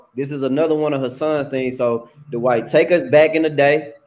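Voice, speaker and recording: With an American accent, a man speaks in a plain, everyday voice at a moderate pace. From Tennessee, US. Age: young. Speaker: college track coach and podcast host. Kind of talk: casual chat.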